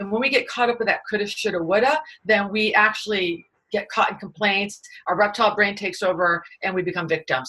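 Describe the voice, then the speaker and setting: A woman with an American accent speaks very fast in an energetic, bright, sharp tone, her pitch medium and its variation ordinary. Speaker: author and management expert. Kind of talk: interview.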